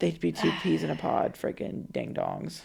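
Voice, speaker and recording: In a put-on character voice, a man talks at a moderate pace with a raspy, very deep, low pitch. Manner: cracking voice like puberty.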